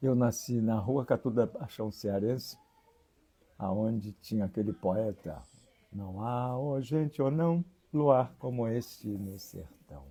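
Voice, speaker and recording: A man's dark, mellow voice at a very slow pace, with lively intonation. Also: medium pitch for a man. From Rio de Janeiro, Brazil (Engenho de Dentro). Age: 80s+. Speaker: religious leader (priest). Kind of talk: interview.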